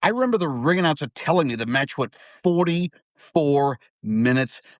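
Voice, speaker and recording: A man speaks with an American accent at a moderate pace. His intonation is lively and his tone animated. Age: 50s. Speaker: wrestling fan guest. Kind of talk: casual chat.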